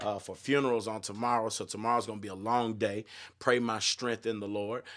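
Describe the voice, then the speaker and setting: The recording is very clean with a silent background, as a man of medium pitch talks at a fairly quick pace. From Texas, Austin area. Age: 30s. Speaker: pastor and gospel musician. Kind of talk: casual livestream podcast with sermon-style rant. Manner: animated.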